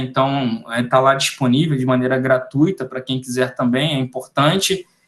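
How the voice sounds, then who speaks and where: A man speaks with a normal speaking voice. His pitch is fairly high and his intonation fairly even. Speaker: ROV technician giving a webinar. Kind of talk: webinar lecture.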